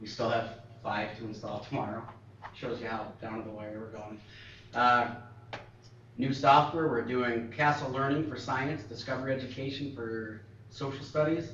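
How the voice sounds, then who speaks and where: Pausing long and often, a man speaks at a medium pitch with fairly even intonation and big swings in loudness, over noticeable background noise and audible room echo. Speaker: school technology staff. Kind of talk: board meeting presentation. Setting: school board meeting. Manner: fast.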